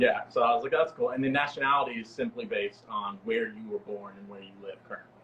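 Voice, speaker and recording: A man's very fast American-accented speech with hardly any pauses, over noticeable background noise. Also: big swings in loudness. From East Texas, US. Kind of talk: casual chat.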